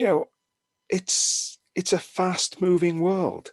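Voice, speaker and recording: Against a quiet background, a man with a British accent speaks at a very slow pace, the sound dry and close with no echo. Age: 60s. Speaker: horror and sci-fi film magazine writer. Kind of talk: casual interview conversation.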